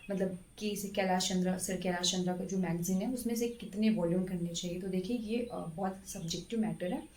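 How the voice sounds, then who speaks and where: A woman with a medium pitch and fairly even intonation speaks amid noticeable background noise and audible room echo. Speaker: government stenographer and exam-prep YouTuber. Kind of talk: exam strategy talk to camera. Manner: hesitant, many fillers.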